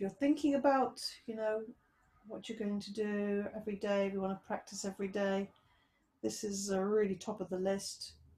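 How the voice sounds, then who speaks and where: Soft-spoken and somewhat breathy, a woman at medium pitch talks at a moderate pace in a gentle, dark, mellow tone with fairly even intonation. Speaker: yoga teacher. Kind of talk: guided meditation. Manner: gentle, soft-spoken instructive cues. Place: home room.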